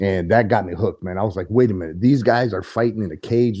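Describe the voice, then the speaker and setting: A man with an American accent and a fairly low, dark, mellow voice talks at a very fast pace with ordinary pitch variation against a quiet background. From Arizona, US (Coolidge). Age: 50s. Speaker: mixed martial arts fighter. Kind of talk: casual interview chat. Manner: halting, frequent fillers and restarts.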